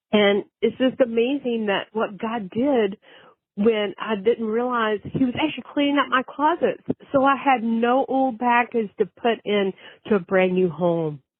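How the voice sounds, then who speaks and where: A woman with an unremarkable speaking voice and a fairly high pitch speaks at a fairly slow pace with ordinary pitch variation. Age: 60s. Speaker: podcast caller. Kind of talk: personal testimony. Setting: phone call.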